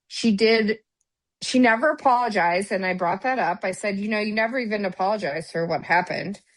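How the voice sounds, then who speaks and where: Speaking very fast in an animated tone, a woman with an American accent keeps her pitch medium. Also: ordinary pitch variation. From US Midwest. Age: 50s. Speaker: podcast co-host, former police officer. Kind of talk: casual chat.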